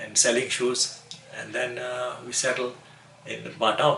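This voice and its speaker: The man speaks at a fairly slow pace and a medium pitch. There is audible room echo along with noticeable background noise. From Fiji (Ba), Indo-Fijian family. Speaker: elderly immigrant interviewee. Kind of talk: oral history interview. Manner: halting, many repetitions and fillers.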